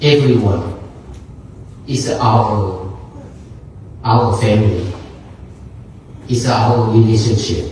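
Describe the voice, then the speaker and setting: At a very slow pace with long, frequent pauses, the speech comes through noticeable background noise and audible room echo. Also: man, medium pitch for a man, ordinary pitch variation. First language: not English. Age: 60s. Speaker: Buddhist monk. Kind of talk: dharma talk. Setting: gathering with audience and microphone. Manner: halting.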